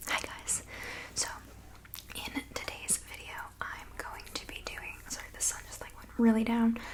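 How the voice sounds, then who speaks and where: Whispering, a woman pauses long and often, her loudness swinging widely against noticeable background noise. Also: moderate pace. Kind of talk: ASMR talk to camera, soft-spoken and whispered reading. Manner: soft-spoken, whispery.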